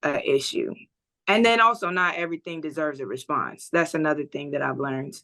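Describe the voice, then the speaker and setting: Her tone is bright and sharp, with lively intonation. The woman speaks at a fairly quick pace and a fairly low pitch. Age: 20s. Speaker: music producer and model. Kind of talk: interview. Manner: chill, easygoing.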